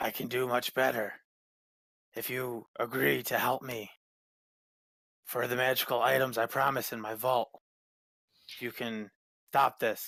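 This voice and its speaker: In a put-on character voice, a man speaks with a raspy sound at a medium pitch and a moderate pace, using monotone, flat intonation and long, frequent pauses, recorded dry and close with no echo. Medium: actual play. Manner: earnest and persuasive.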